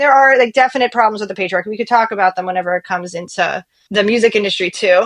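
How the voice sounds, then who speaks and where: A woman with an American accent, animated in tone, at medium pitch and a very fast pace. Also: ordinary pitch variation. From US, Pittsburgh area (North Hills). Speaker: musician and songwriter. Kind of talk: casual interview chat.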